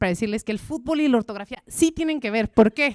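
A woman speaks in an animated tone at a fairly high pitch. Her intonation is lively, and the background is quiet. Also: dry sound with no echo. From Mexico. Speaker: journalist and language adviser giving a talk; journalist. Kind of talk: talk to a live audience. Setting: stage with audience. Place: stage. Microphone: handheld.

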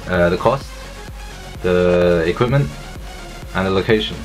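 Clear music sits in the background. The speech moves at a moderate pace. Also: man. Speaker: vlogger. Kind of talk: casual vlog chat. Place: home room. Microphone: phone near.

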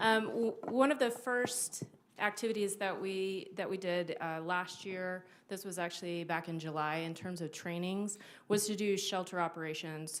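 Fairly low in pitch, a woman talks at a moderate pace. There is audible room echo. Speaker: city emergency management coordinator. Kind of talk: presentation to city council. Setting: city council meeting. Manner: loud.

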